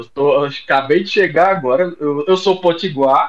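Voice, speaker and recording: A man speaks with a northeastern Brazilian accent. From Rio Grande do Norte, Brazil. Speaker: doctor, gynecologist and obstetrician. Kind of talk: casual chat.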